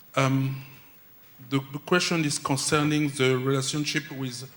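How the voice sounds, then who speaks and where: A man speaks in a French accent with monotone, flat intonation. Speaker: conference attendee asking question. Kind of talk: audience question. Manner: halting.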